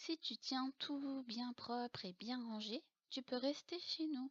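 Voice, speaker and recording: In a dry, close recording with no echo, a woman speaks at a high pitch. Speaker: storyteller. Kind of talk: bedtime story reading.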